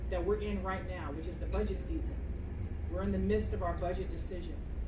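Over noticeable background noise, a woman's speech moves at a fairly quick pace. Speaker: mayoral candidate and city council member. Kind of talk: campaign speech and Q&A at community meeting. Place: meeting room. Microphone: camera far.

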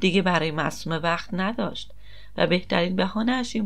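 An unforced reading voice, ordinary pitch variation throughout

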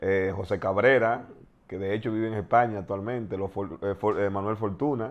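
A man talks in a normal speaking voice at a fairly low pitch. His pace is moderate and his intonation fairly even. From Dominican Republic, San Cristóbal province; Dominican Republic. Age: 40s. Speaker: former basketball player; interviewee. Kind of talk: interview, personal life story; interview answer. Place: studio.

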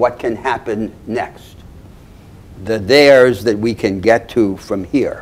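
A man talks very slowly with fairly even intonation. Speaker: lecturer. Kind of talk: lecture. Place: classroom. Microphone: podium.

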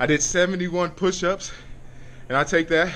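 The tone is bright and sharp, with light background noise. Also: man. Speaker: vlogger reporting fitness test results. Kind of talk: casual vlog chat. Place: gym. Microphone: phone near.

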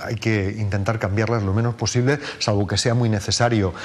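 A man at a moderate pace with fairly even intonation. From Valencia region, Spain. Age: 50s. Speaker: mayoral candidate, politician; candidate. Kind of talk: TV interview; interview answer. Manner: halting, with frequent repetitions. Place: studio. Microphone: lapel.

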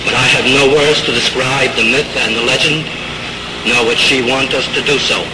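A man's medium-pitched, monotone delivery with flat intonation, very even loudness, a moderate pace, and noticeable background noise. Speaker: acting teacher. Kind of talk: funeral eulogy. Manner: solemn, grieving.

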